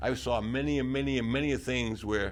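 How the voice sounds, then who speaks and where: Vocal fry runs through this man's voice, and audible room echo surrounds it. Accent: New England. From north-central Massachusetts. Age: 70s. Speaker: retired town trapper. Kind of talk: oral history interview. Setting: senior center.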